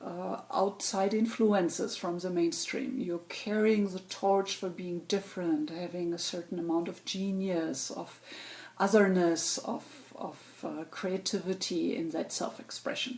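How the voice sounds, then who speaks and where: With a German accent, a woman of medium pitch speaks at a fairly slow pace with ordinary pitch variation. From Germany. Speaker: astrologer. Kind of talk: weekly astrology forecast monologue. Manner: halting, many fillers.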